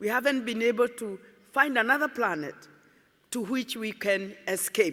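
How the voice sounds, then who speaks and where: A woman with a Kenyan accent speaks at a fairly slow pace and a fairly high pitch. Her tone is bright and sharp, her intonation lively. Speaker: environmentalist. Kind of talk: conference speech.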